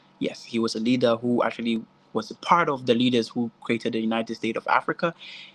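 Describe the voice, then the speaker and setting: In a dry, close recording with no echo, a man of medium pitch talks at a very fast pace with fairly even intonation. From Ghana. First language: Twi (Akan). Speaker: tour guide. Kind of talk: virtual tour presentation.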